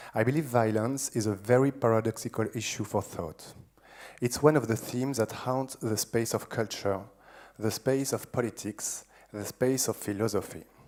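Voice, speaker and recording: A man with a strong French accent speaks at a medium pitch with fairly even intonation. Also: moderate pace. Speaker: philosopher. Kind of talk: lecture. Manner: seated, informal delivery.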